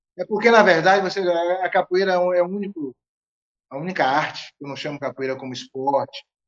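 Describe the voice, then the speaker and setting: This man talks at a fairly quick pace, his pitch high for a man and its variation ordinary. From Bahia, Brazil (Feira de Santana). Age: 60s. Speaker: capoeira master. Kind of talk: interview conversation.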